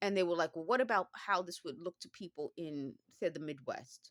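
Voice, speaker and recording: At a moderate pace, this woman talks in a fairly low voice. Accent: New York. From Bronx, New York. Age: middle-aged. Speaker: former phone company worker. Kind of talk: casual talk to camera.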